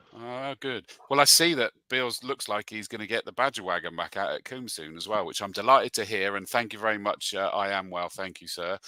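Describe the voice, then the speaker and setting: Bright and sharp in tone, a man talks at a fairly quick pace and fairly low pitch with hardly any pauses, big swings in loudness and ordinary pitch variation, in a dry, close sound with no echo. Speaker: motorsport commentator. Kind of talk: casual chat.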